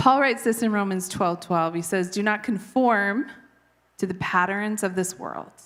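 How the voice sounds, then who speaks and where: This woman talks at a moderate pace with a medium pitch. Her pitch varies in an ordinary way. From Canada. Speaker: preacher. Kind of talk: sermon.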